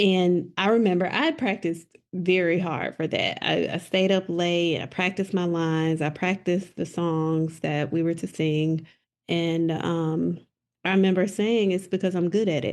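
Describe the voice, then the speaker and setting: A woman with a Southern US accent, fairly low pitch and fairly even intonation. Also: moderate pace, quiet background. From South Mississippi. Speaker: educational leader, poet. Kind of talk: interview answer.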